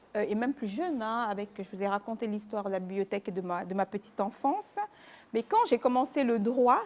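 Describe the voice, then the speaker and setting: A woman talks fairly quickly in a normal speaking voice, her pitch moving in a normal way. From Cameroon (Mbalmayo, Yaoundé). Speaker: lawyer, publisher and author. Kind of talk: interview.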